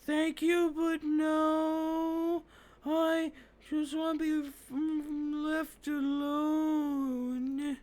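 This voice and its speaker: A put-on character voice, high-pitched and monotone, delivers its lines at a very slow pace. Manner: sad, dejected, wanting to be left alone.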